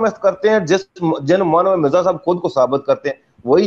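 Intonation rises and falls in a lively way while the delivery keeps a moderate tempo. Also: man. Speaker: questioner in debate; questioner. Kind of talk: religious debate. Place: home room. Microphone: video call.

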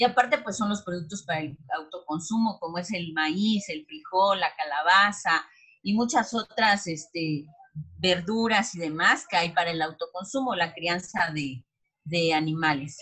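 Over a quiet background, a woman with a fairly low pitch talks at a fairly slow pace with lively intonation. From Mexico. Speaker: cooperative producer, market presenter; presenter. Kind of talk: presentation of experience, talk. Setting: video call. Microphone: video call.

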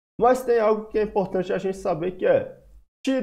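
With lively intonation and a dark, mellow tone, a man speaks at a moderate pace. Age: 20s. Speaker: finance educator. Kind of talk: online course lesson. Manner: casual, conversational. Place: home room. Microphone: webcam.

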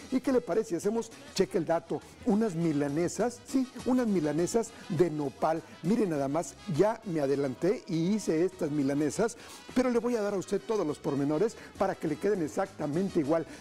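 Faint music sits in the background as a man talks at a fairly quick pace. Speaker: TV cooking show host. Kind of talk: energetic TV presenter talk. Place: studio. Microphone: lapel.

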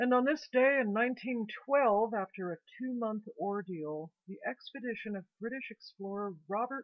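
A woman speaks at a fairly slow pace, her voice dry with no echo against a quiet background. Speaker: video journal host. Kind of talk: history commentary. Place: home room. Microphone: webcam.

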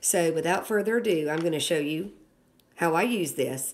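Speaking at a fairly quick pace, a woman has a very deep, low pitch. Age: 50s. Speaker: product reviewer. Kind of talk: product review tutorial. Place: home room. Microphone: phone near.

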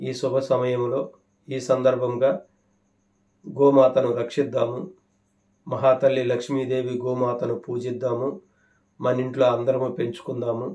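A man's medium-pitched voice, dark and mellow in tone, with monotone, flat intonation over a quiet background. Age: 50s. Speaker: farming YouTuber. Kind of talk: monologue to camera. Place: home room. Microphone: phone near.

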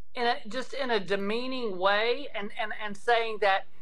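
Fairly high-pitched female voice, its pitch varying in an ordinary way. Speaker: state legislator. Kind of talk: interview answer. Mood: earnest, indignant. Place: home room. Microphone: video call.

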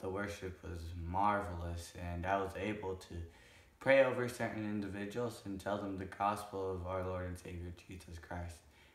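Audible room echo surrounds a man's voice. He speaks at a moderate pace with a very deep, low pitch and fairly even intonation. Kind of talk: casual vlog talk. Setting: at home, on camera. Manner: halting.

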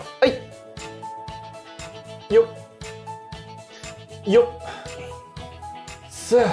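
Over music in the background, a man speaks at a fairly slow pace in an extremely high pitch. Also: ordinary pitch variation. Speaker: voice actor; fitness show host. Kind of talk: workout instruction with counting. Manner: casual, upbeat. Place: studio.

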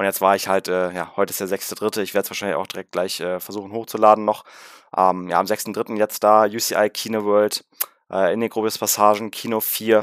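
Over a quiet background, a man speaks at a fairly quick pace in a fairly low, monotone, flat voice, the sound dry with no echo. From Berlin (Rudow); Berlin. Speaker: gaming YouTuber. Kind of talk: film review vlog. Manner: casual, many filler sounds.

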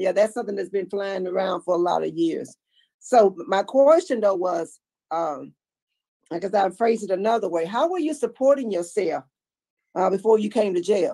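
A woman's dark, mellow tone with lively intonation at a moderate pace. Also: quiet background. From Louisiana. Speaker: parole board member. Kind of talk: parole hearing questioning. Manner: loud. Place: office. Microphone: video call.

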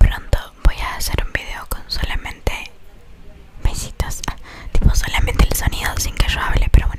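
A woman whispers at a moderate pace, soft-spoken, with big swings in loudness. Noticeable background noise sits behind her. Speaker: ASMR content creator. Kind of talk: casual vlog chat. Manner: soft close-mic ASMR whisper. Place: home room. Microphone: studio mic.

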